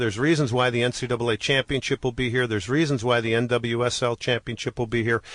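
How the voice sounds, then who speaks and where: Against a quiet background, a man at medium pitch speaks at a very fast pace in an enthusiastic tone. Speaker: professional sports announcer, interview guest. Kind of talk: radio interview answer about soccer in Houston. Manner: enthusiastic, fluent.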